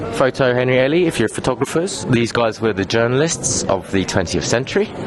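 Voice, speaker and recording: A man at a medium pitch talks at a fairly quick pace with lively intonation and very even loudness over noticeable background noise. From England. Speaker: tour guide. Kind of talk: guided walking tour. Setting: outdoors at a street market. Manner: casual, relaxed.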